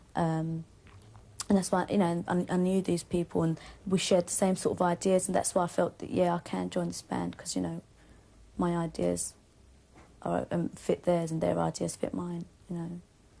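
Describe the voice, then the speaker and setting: The speaker has a Cockney accent and leaves long, frequent pauses. The background is quiet. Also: woman. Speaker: band member. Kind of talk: interview. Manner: fast.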